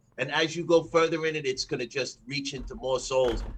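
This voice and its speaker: Fairly quick and fairly high-pitched, this man has an unremarkable speaking voice. He keeps the pace brisk throughout. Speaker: podcast co-host. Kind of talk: casual chat.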